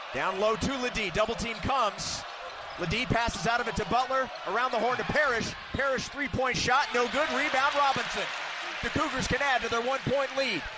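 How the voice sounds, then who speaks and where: A man speaks at an extremely high pitch and a fairly quick pace. Background noise is noticeable. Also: fairly even intonation. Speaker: play-by-play announcer. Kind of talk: live sports commentary, play-by-play. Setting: arena broadcast, radio.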